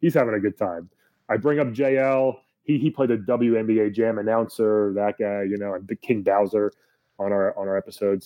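A plain, everyday voice from a man, fairly low in pitch, with ordinary pitch variation and a fairly quick pace. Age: 30s. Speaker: stand-up comedian and voice actor. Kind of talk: casual chat.

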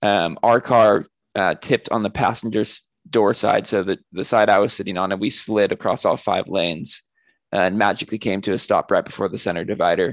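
Against a quiet background, a man with an American accent talks at a fairly low pitch and moderate pace, his intonation fairly even. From Northern California. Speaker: author and editor. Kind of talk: interview conversation.

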